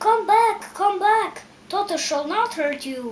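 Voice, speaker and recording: The speaker moves at a fairly slow pace while doing a put-on character voice. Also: woman, extremely high pitch for a woman. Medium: read story.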